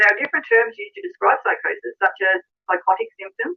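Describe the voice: A woman talks fast at an extremely high pitch with big pitch swings. Vocal fry runs through her voice.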